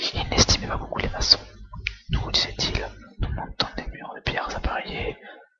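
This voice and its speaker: A whisper comes through noticeable background noise, broken by long, frequent pauses. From France. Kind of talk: whispered book reading for relaxation. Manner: whispered, soft, slow.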